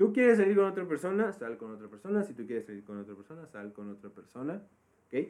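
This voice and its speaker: Very fast delivery comes with very wide pitch swings and big swings in loudness. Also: man, fairly high pitch for a man. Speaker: podcast co-host. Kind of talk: casual chat.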